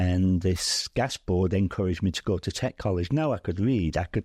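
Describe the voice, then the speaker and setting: A man with a Merseyside accent speaks at a moderate pace in a very deep, low pitch. The background is quiet, and the sound is dry and close with no echo. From Widnes, England. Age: 70s. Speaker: retired oil and gas executive, football fan. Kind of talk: interview answer.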